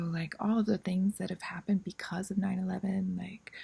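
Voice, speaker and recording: A woman's somewhat breathy voice has a dark, mellow tone, a medium pitch, and fairly even intonation. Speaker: vlogger. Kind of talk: casual monologue. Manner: hesitant, many fillers.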